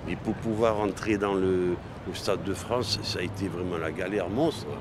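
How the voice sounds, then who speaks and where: Noticeable background noise and audible room echo surround a man speaking at fairly low pitch with fairly even intonation. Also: moderate pace. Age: 70s. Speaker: football supporter. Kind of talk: interview. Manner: halting.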